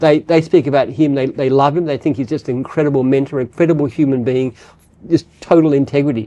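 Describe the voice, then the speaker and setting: Speaking at a very fast pace, a man with an Australian accent has a dark, mellow tone, a fairly high pitch and fairly even intonation. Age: 70s. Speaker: business founder. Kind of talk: casual chat. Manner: halting.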